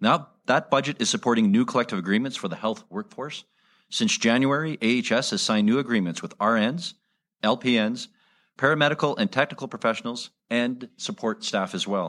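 Here is a man with an ordinary speaking voice at a medium pitch, using lively intonation. He talks at a fairly quick pace on a very clean recording with a silent background. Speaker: health minister. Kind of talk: press conference remarks.

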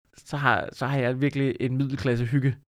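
Intonation is fairly even in this clip of an ordinary speaking voice. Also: man. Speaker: comedian. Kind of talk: casual chat.

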